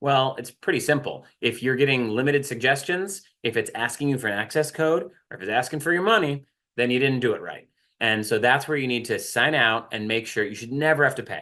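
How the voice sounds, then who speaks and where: Loud and bright, sharp in tone, a man speaks at a medium pitch and a fairly quick pace with ordinary pitch variation against a quiet background. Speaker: writing center staff, workshop presenter. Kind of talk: online workshop presentation. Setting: video call.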